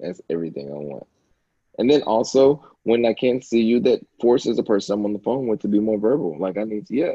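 A man with a plain, everyday voice, medium pitch and lively intonation, at a fairly quick pace. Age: 20s. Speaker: podcaster. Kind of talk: casual chat. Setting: home.

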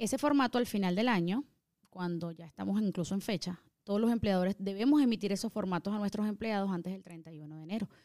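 A woman's very fast speech at a medium pitch, dark and mellow in tone, with ordinary pitch variation. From Venezuela, Caracas. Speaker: tax preparer. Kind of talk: explanatory interview answers.

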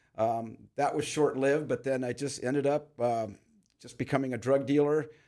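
A man with an American accent and a plain, everyday voice talks at a fairly quick pace, with medium pitch and fairly even intonation. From Los Angeles, San Fernando Valley. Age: 60s. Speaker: jail chaplain. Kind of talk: interview, personal testimony.

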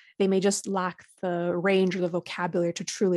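Over a quiet background, a woman speaks fairly quickly in a fairly low, monotone, flat voice with a dry, close sound and no echo. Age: 20s. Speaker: founder of a grief support organization. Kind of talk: interview.

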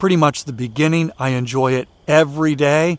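Using a plain, everyday voice, a man holds fairly even intonation at a fairly high pitch. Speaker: walking podcast host. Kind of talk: solo podcast monologue with ad reads.

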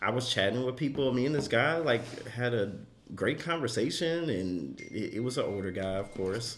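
A man with a normal speaking voice talks at medium pitch and a moderate pace, with lively intonation. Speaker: podcast host. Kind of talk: casual chat.

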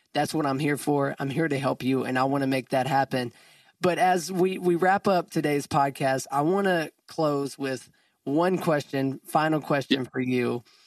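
In a normal speaking voice, a man with fairly high pitch and ordinary pitch variation is heard against a quiet background with a dry, close sound and no echo. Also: moderate pace. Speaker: podcast host. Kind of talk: casual interview chat.

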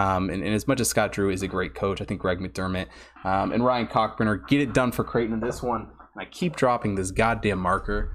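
The man's voice sits fairly low and carries vocal fry. His pitch varies in an ordinary way. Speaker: sports betting show host. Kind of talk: live stream sports analysis. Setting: live stream from home studio. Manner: casual, many filler ums.

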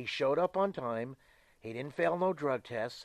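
A man with a normal speaking voice and fairly high pitch speaks with lively intonation, recorded dry and close with no echo against a quiet background. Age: 60s. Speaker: professional wrestler. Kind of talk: casual interview.

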